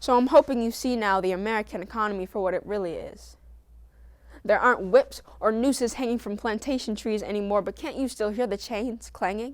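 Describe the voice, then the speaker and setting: A woman's fairly high, unremarkable speaking voice, its pitch varying in an ordinary way. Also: fairly quick pace. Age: young. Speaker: spoken word poet. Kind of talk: spoken word poetry performance.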